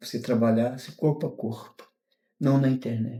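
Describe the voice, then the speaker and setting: A man speaks at a fairly slow pace in a monotone, with flat intonation. His tone is dark and mellow, and somewhat breathy. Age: 60s. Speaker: retired mail carrier. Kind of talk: interview. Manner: halting.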